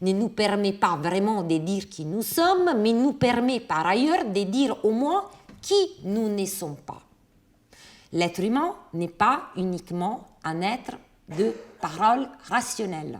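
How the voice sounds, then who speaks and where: At a very slow pace, a woman with an Italian accent speaks at a medium pitch. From Italy. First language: Italian (speaking French). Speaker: philosopher. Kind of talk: lecture.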